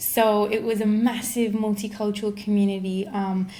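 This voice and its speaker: Fairly even intonation is heard through audible room echo. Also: woman. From Kenya, remote region. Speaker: social science researcher. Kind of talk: casual interview.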